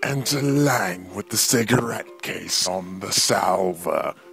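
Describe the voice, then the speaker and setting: Fairly low, raspy male voice at a fairly slow pace, with clear music in the background. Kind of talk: stage directions read aloud. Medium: stage play.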